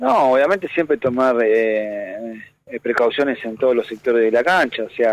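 A man's medium-pitched voice moves at a fairly slow pace. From Argentina, Buenos Aires (Saavedra). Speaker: professional footballer. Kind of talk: phone interview. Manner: halting, many repetitions.

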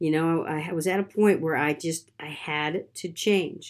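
A woman talks in a plain, everyday voice at a fairly low pitch. Her pace is fairly slow, on a very clean recording with a silent background. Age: 50s. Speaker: podcast host, digital marketer. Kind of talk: solo podcast monologue. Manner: casual, many fillers.

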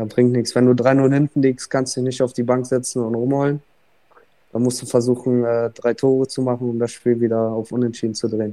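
A man with a medium-pitched, dark, mellow voice speaks at a fairly quick pace in a flat monotone. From Bremerhaven, northern Germany. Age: young. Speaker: ice hockey player. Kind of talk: interview. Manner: halting, many filler sounds.

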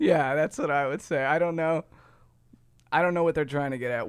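A man talks at a fairly quick pace with a Midwestern American accent. His pitch varies in an ordinary way, and the recording is very clean with a silent background. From US Midwest, Ohio. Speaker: podcast host. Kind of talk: casual chat.

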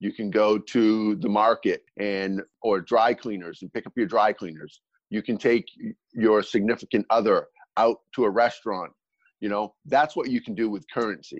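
A man with an American accent, speaking in a normal speaking voice. His pitch sits fairly low, and the sound is dry and close with no echo. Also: ordinary pitch variation, moderate pace. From United States. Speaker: cryptocurrency entrepreneur. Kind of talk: interview.

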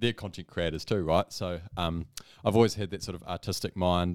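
With a New Zealand accent, a man speaks at a very deep, low pitch and with fairly even intonation. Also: dry, close sound with no echo, very clean recording, silent background. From New Zealand, Whanganui. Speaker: content creator, graphic designer. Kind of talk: casual interview chat.

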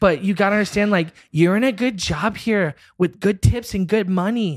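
An animated tone in a dry, close sound with no echo. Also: man. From US South (Florida). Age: 30s. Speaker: musician. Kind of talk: casual chat. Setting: video call.

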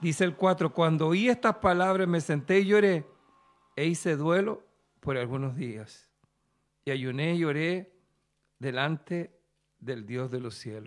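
A man with a fairly high pitch and lively intonation talks fairly slowly, with long, frequent pauses. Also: very clean recording, silent background. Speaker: preacher. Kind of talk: sermon. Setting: studio.

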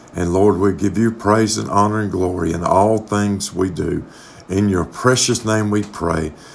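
There is noticeable background noise as a man speaks at a fairly slow pace. His voice has a warm tone, a fairly low pitch and fairly even intonation. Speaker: pastor. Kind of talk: fervent pastoral prayer. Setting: remote recording, church podcast. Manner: earnest, pleading, impassioned; warm, pastoral, sincere.

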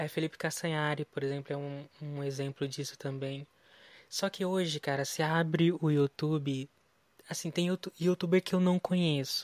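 In a very clean recording with a silent background and a dry, close sound with no echo, a man with a plain, everyday voice and fairly high pitch talks at a moderate pace. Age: 20s. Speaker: pop culture news editor. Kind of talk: casual interview.

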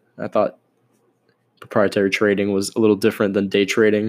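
Speaking very fast with an American accent, a man with a fairly low pitch is heard on a very clean recording over a silent background. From Miami, Florida. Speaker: podcast host, finance. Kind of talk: casual solo podcast intro. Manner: monotone, trying to be more lively; casual, laughs often.

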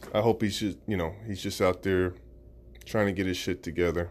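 A man speaks in a fairly low voice. Vocal fry runs through it. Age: 30s. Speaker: podcaster and social worker. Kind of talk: casual monologue. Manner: laid-back.

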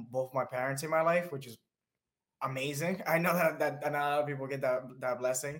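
A man with an American accent talks at a fairly quick pace in a fairly high pitch. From Dominican Republic, later New Jersey. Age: 20s. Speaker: behavior analyst and mental health advocate. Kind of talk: interview, personal story. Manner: animated, laughing.

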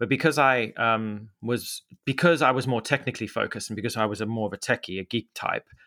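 A man with a Zimbabwean accent speaks at a very fast pace with hardly any pauses, his medium-pitched voice bright and sharp in tone with ordinary pitch variation, captured in a dry, close sound with no echo on a very clean recording with a silent background. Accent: Zimbabwean-tinged English. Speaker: media entrepreneur. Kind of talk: casual interview. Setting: studio. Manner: halting, many fillers.

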